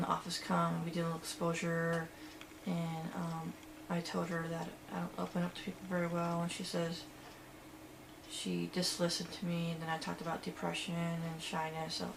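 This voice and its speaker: Audible room echo and noticeable background noise around a woman talking at moderate speed. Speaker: vlogger in social anxiety therapy study. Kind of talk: personal video diary. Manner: louder than before; halting, many fillers.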